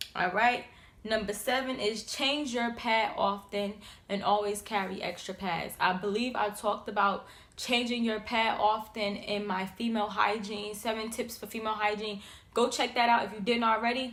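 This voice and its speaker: A woman speaks at a fairly high pitch, and the room echo is audible. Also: moderate pace. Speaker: YouTuber. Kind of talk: casual vlog tips. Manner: animated.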